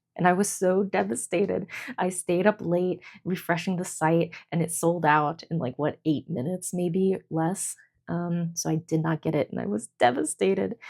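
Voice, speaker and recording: Quiet and fairly low-pitched, a woman speaks at a moderate pace. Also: ordinary pitch variation. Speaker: journaling vlogger. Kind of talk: casual chat. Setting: at home, fiance sleeping nearby. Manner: hesitant, lots of fillers.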